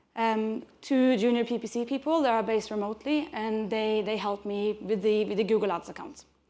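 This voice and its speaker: A woman's fairly high voice, with ordinary pitch variation, comes through on a very clean recording with a silent background. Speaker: conference speaker, PPC marketing specialist. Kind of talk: conference talk. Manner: fast.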